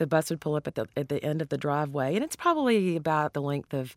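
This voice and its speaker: In a very clean recording with a silent background and a dry, close sound with no echo, a woman talks very fast with a Southern US accent at a very deep, low pitch. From US South. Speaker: cookbook author and chef. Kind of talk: interview.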